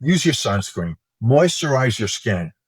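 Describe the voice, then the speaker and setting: Somewhat breathy and at a fairly slow pace, a man with an American accent speaks at medium pitch in a very clean recording with a silent background and a dry, close sound with no echo. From New York, US. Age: 60s. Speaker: cosmetics scientist and executive. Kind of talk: interview conversation.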